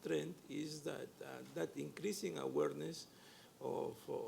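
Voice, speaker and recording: At a moderate pace, a man talks with a Spanish accent. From Peru. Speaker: community development lender. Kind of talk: panel discussion. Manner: halting, many fillers.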